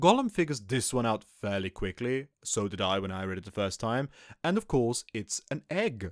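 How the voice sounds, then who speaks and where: A man with a German accent speaks at a moderate pace and a medium pitch, with lively intonation. The sound is dry and close with no echo, in a very clean recording with a silent background. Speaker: podcast host. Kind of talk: solo podcast commentary.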